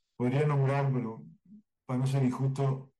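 Audible room echo surrounds a man whose medium-pitched voice has a dark, mellow tone. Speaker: cartoonist and drawing teacher. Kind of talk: interview.

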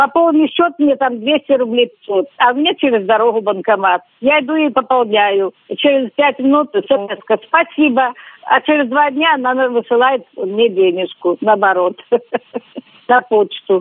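A woman's high-pitched voice, fairly slow, with lively intonation. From Belarus. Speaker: street cleaner, retired teacher. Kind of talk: interview.

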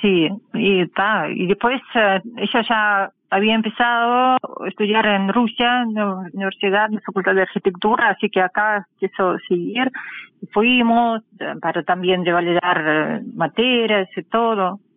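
At a fairly slow pace, a woman talks at medium pitch with ordinary pitch variation. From Russian Far East (Khabarovsk). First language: Russian (speaking Spanish). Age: 40s. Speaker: artist and art teacher. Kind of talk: interview. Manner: halting.

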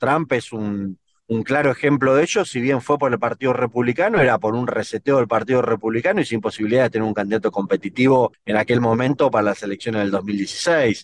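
A normal speaking voice from a man at medium pitch, fairly quick pace with hardly any pauses, ordinary pitch variation, and a dry, close sound with no echo. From Argentina. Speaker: political consultant and analyst. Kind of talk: interview.

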